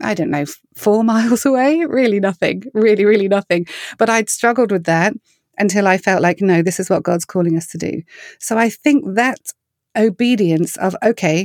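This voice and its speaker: A woman talks with a southern English accent and ordinary pitch variation. The sound is dry and close, with no echo. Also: very clean recording, silent background. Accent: English (southern England). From southern England. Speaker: singer-songwriter and ministry founder. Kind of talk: casual interview chat.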